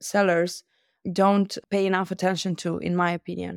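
A woman's monotone, flat delivery comes through a very clean recording with a silent background and a dry, close sound with no echo. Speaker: e-commerce agency founder. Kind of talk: interview.

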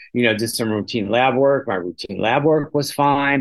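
With a normal speaking voice, a man talks at a fairly quick pace with ordinary pitch variation. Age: 60s. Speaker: patient living with HIV. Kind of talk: personal testimony.

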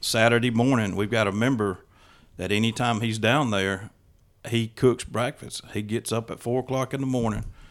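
Speaking with a Mississippi accent, a man uses medium pitch and fairly even intonation at a moderate pace. The recording is very clean, with a silent background. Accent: Southern US (Mississippi). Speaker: hunter and hunting club member. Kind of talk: casual chat.

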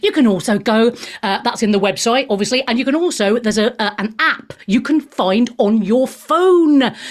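A woman speaks at a moderate pace with a fairly high pitch. Her intonation is lively.

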